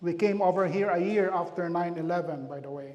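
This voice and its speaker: With a strong Filipino accent, a man speaks at a moderate pace, and room echo is audible. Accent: heavy Filipino. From Philippines. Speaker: pastor. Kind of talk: community health talk.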